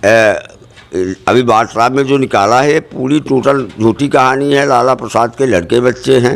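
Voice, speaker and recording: Here a man speaks at medium pitch in a plain, everyday voice, with hardly any pauses. His loudness stays very even and his intonation fairly even. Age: 60s. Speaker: local party worker making allegations. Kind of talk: news interview.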